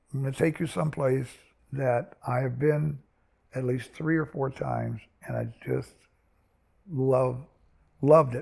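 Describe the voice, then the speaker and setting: A man's somewhat breathy, medium-pitched voice, fairly even in intonation and fairly slow, with long, frequent pauses. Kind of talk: interview answer. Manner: rambling, conversational.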